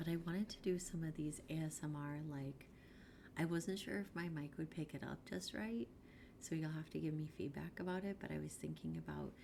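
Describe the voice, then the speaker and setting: A woman is whispering. She goes at a fairly quick pace. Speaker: art streamer. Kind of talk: casual livestream chat. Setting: livestream from home room. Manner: soft-spoken. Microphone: quiet, gain low, noise suppression off.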